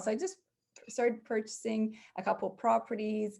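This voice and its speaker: A woman with a Canadian accent, fairly high in pitch, at a moderate pace, an ordinary speaking voice over a quiet background. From Canada. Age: 40s. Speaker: real estate investor. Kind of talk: podcast interview.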